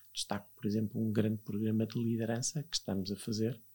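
Dark and mellow in tone, a man speaks at medium pitch with fairly even intonation. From northern Portugal, Viana do Castelo. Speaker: learning and innovation executive. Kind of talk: interview.

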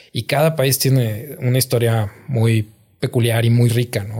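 A man's somewhat breathy voice, medium in pitch, with fairly even intonation. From northern Mexico, Gómez Palacio, Durango. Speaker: comedian. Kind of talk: casual chat. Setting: studio.

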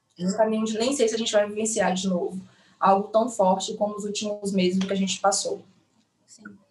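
Her voice somewhat breathy and medium in pitch, a woman talks fairly quickly in a monotone, flat way, with big swings in loudness. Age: 30s. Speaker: nurse. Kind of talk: online live interview. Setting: online live stream.

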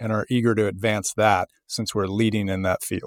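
With an American accent and a plain, everyday voice, a man speaks at a fairly low pitch with fairly even intonation, in a very clean recording with a silent background and a dry, close sound with no echo. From US South (Memphis, Tennessee). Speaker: biotech company CEO. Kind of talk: interview.

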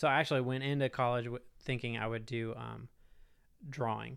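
A man with an American accent and medium pitch talks at a fairly quick pace in a very clean recording with a silent background. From Texas (Houston), high school in Augusta, Georgia. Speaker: board game company founder. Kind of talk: casual interview chat.

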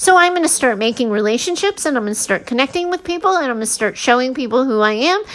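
The voice rushes along at a very fast pace with hardly any pauses, its pitch swinging very widely. Noticeable background noise runs underneath. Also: woman, high pitch for a woman. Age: 40s. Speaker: podcast host, mindset and leadership coach. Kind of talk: solo podcast monologue.

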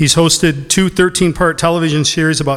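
Talking fairly quickly, a man uses an ordinary speaking voice with fairly even intonation. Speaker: event host introducing speaker. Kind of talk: formal introduction. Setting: stage with audience.

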